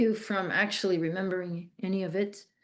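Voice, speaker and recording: Against a quiet background, a woman with a Flemish Belgian accent talks at a moderate pace. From Belgium (Flemish). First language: Dutch (Flemish). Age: 60s. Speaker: trafficking survivor and speaker. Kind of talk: interview testimony. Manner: halting, many restarts and fillers.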